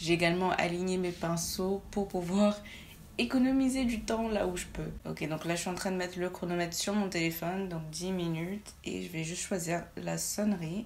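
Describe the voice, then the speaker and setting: Against noticeable background noise and audible room echo, a woman with a fairly low pitch speaks at a moderate pace with ordinary pitch variation. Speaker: beauty youtuber. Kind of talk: makeup tutorial. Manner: hesitant, with many fillers.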